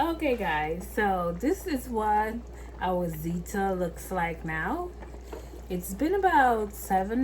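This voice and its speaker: A woman talks at a very slow pace in a West Indian accent. Noticeable background noise and audible room echo surround her voice. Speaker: cooking vlogger. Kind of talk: cooking tutorial. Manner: casual, chatty.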